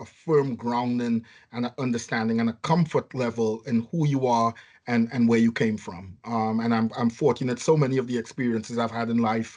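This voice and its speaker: With a strong Trinidadian accent, a man speaks at a fairly quick pace and medium pitch. His intonation is fairly even, and the background is quiet. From Trinidad and Tobago. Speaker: nursing home chief executive. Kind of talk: podcast interview. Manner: hesitant, many fillers.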